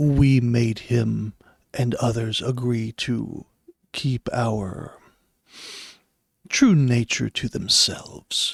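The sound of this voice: A booming, put-on character voice at low-to-middle pitch, at a very slow pace with long, frequent pauses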